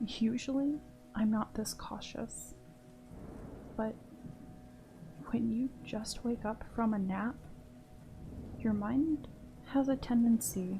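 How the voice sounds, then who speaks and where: With noticeable background noise, a woman speaks at a fairly high pitch with fairly even intonation. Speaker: horror story narrator. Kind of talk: horror story narration. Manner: soft-spoken.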